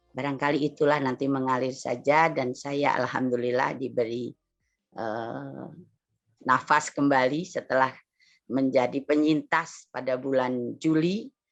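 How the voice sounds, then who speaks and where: At a fairly slow pace, a woman with a very deep, low pitch speaks with fairly even intonation against a quiet background. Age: 60s. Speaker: linguistics and culture scholar. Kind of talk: interview. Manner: halting.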